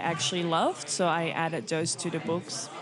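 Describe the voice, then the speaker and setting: A woman with a Belgian accent talks at a fairly quick pace. Crowd noise fills the background, and room echo is audible. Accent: noticeable Belgian. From Belgium. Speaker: children's book author and illustrator. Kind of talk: interview. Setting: live stream. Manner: hesitant with fillers.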